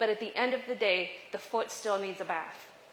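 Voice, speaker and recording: A woman speaks in an animated tone at a moderate pace against noticeable background noise. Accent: American. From US Midwest (western Nebraska). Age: 50s. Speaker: leadership speaker. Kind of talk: motivational talk. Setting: cafe with live audience.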